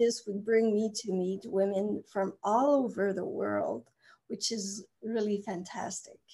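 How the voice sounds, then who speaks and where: At a very slow pace, a woman with a slight Quebec accent speaks in a dark, mellow tone, her fairly high pitch kept in fairly even intonation. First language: French. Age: 40s. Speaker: therapist. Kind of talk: casual chat.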